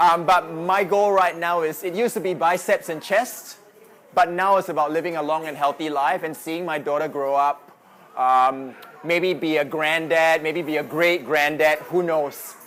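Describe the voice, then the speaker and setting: Speaking with a Singaporean accent, a man uses a fairly high pitch and fairly even intonation at a moderate pace. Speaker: fitness coach. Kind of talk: presentation. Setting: live audience in a noisy venue.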